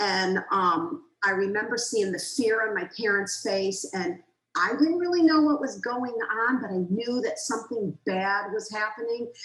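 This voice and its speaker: At a moderate pace, a woman with an ordinary speaking voice talks at a fairly high pitch with lively intonation. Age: 60s. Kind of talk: interview testimony.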